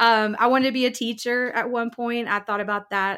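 A woman speaks at a fairly quick pace with fairly even intonation in an unremarkable speaking voice. The recording is very clean, with a silent background. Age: 40s. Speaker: worship leader and minister. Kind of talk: testimony.

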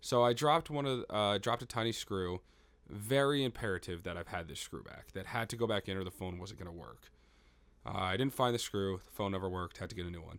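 A man's fairly low voice at a very fast pace, with lively intonation and big swings in loudness. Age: 20s. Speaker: podcast host. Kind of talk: casual banter. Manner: joking.

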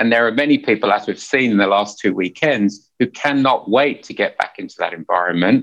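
This man has an American accent and a medium pitch with ordinary pitch variation. He speaks at a fairly quick pace with hardly any pauses. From England (North London, Hertfordshire). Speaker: management consultant. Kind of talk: interview conversation.

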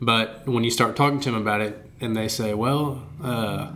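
Against noticeable background noise, a man at a medium pitch talks at a moderate pace with ordinary pitch variation. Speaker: podcast host and archery coach. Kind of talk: casual chat. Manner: animated, joking.

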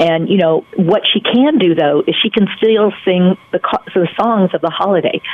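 Noticeable background noise sits behind a woman speaking at a medium pitch with an American accent. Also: ordinary pitch variation, moderate pace. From North Carolina. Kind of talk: radio interview. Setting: phone call.

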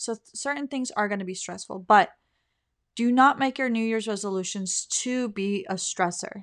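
In a very clean recording with a silent background, a woman speaks at a moderate pace with ordinary pitch variation. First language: not English. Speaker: podcast host. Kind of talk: solo motivational talk. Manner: casual, conversational.

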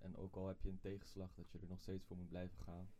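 Dark, mellow tone with monotone, flat intonation. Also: man. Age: 20s. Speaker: guest. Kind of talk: interview.

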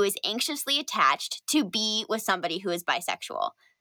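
Bright and sharp in tone, a woman's fairly high voice moves with lively intonation in a dry, close recording with no echo. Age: 20s. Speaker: podcast co-host, sex educator and journalist. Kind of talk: casual chat.

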